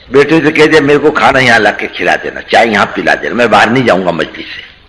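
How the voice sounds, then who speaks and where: A man's fairly high voice, with ordinary pitch variation, proceeds at a moderate pace while noticeable background noise carries on. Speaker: Islamic preacher. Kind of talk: religious talk, storytelling.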